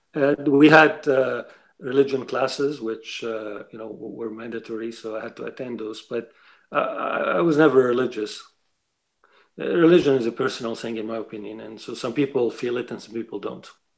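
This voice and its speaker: A man with a Lebanese accent speaks at a medium pitch and a fairly quick pace, showing ordinary pitch variation and big swings in loudness. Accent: Lebanese accent, noticeable. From Lebanon. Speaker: writer, interview guest. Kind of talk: interview. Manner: halting, repeats words.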